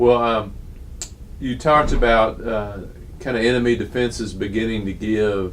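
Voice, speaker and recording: A man with a Texan accent speaks at a fairly slow pace. His pitch is medium. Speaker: oral historian interviewer. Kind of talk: interview questions.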